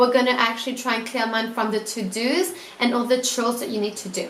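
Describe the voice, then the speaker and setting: A woman talks in an animated tone at a high pitch. Room echo is audible, and background noise is noticeable. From Italy. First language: not English (English is third language). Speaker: student YouTuber giving productivity tips. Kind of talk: casual vlog tutorial. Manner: animated, casual with fillers.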